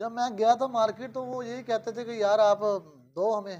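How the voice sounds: The man's pitch is extremely high and his tone slightly mellow. His intonation is fairly even, at a moderate pace.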